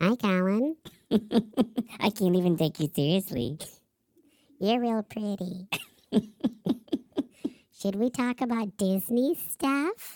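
A put-on character voice at a fairly high pitch moves at a fairly slow pace with long, frequent pauses. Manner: playful.

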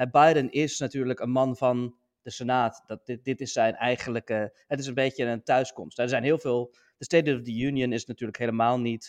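A man's medium-pitched voice with monotone, flat intonation over a quiet background. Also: moderate pace, dry, close sound with no echo. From Netherlands. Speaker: podcast co-host, US politics commentator. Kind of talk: casual political discussion. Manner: halting, many fillers.

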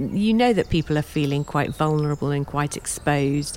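A woman speaks with a very deep, low voice. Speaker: gardening project leader. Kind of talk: documentary interview explaining.

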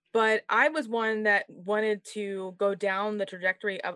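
Bright and sharp, a woman's medium-pitched voice shows ordinary pitch variation, with a dry, close sound and no echo. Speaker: nursing podcast host. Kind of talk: casual interview chat. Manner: fast.

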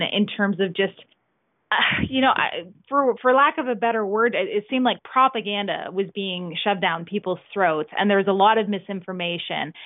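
With a Canadian accent, a woman uses an ordinary speaking voice at a medium pitch with ordinary pitch variation. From Canada. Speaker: musician. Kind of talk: casual chat. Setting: remote interview from home.

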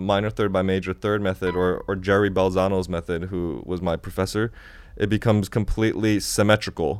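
A man with an American accent uses a normal speaking voice, fairly low in pitch with fairly even intonation, at a moderate pace on a very clean recording with a silent background. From China and Japan, then US Midwest. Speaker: music producer and app developer. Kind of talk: casual chat. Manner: casual, slangy, laid-back.

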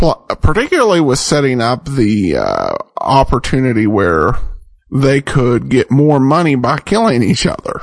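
Lively intonation in an unremarkable speaking voice, a man at medium pitch. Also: fairly slow pace, very even loudness. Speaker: radio host. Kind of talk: podcast intro and outro, casual commentary.

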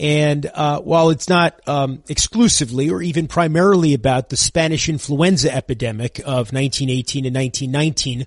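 The man's voice sits fairly high and sounds somewhat breathy. His pace is moderate and his pitch varies in an ordinary way. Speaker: radio host. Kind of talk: radio interview.

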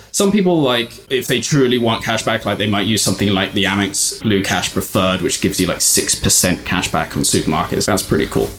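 A man with a British accent and a fairly low pitch talks at a very fast pace with lively intonation, very even loudness and hardly any pauses, over noticeable background noise. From UK. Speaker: travel points website founder. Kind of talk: casual chat.

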